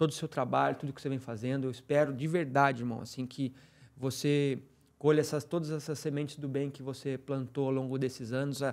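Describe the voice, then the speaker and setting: A man's plain, everyday voice, fairly high in pitch, at a fairly quick pace. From Brazil. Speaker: podcast co-host, trader; podcast co-host. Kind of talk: casual chat. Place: studio. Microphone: studio mic.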